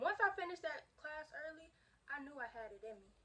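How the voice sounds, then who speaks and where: A woman projects a raised voice with lively intonation. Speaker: vlogger. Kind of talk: casual chat. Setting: kitchen. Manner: fast.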